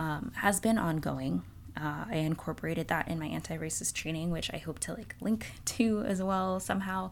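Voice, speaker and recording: A woman speaks in a plain, everyday voice with an American accent, her pitch fairly low. Her pace is moderate. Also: ordinary pitch variation. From East Texas, Houston. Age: 20s. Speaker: podcaster. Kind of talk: personal reflection monologue. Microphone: new donated podcast mic.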